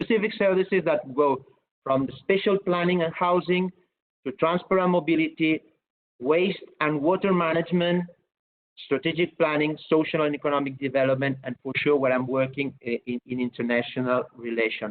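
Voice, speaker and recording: With a Catalan accent, a man speaks at a moderate pace and a fairly high pitch, his pitch varying in an ordinary way. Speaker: city government official. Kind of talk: webinar presentation. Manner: halting, many repetitions.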